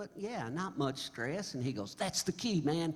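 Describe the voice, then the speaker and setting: With an American accent, the speaker goes fairly slowly, somewhat breathy, with very wide swings in pitch. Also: man. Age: 70s. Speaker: singer-songwriter. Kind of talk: stage banter. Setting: stage with audience. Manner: halting; animated.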